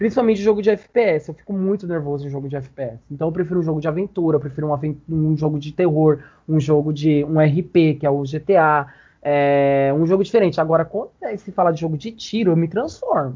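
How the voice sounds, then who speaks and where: A man speaks in an ordinary speaking voice. His pitch sits fairly high, with ordinary pitch variation. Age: 20s. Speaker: game streamer. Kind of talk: casual chat.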